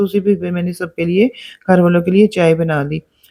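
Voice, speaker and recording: A woman's dark, mellow voice, fairly low in pitch, with fairly even intonation. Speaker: vlogger. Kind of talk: vlog narration. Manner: hesitant, many fillers.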